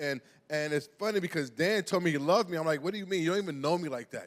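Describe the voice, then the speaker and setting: A man with a New York accent, fairly high-pitched, at a very fast pace, with ordinary pitch variation. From New York (Brooklyn). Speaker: pastor. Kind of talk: sermon. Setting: church. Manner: halting.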